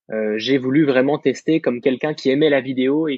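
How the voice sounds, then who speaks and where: A man talks in an unremarkable speaking voice at a moderate pace. His pitch is fairly high, with ordinary variation. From France. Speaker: content creator. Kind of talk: podcast conversation.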